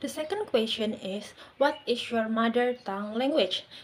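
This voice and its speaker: A woman speaks with an Indonesian accent. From Indonesia, Malang, East Java. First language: Javanese. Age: 20s. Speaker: university student. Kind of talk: class presentation. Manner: hesitant, with filler words.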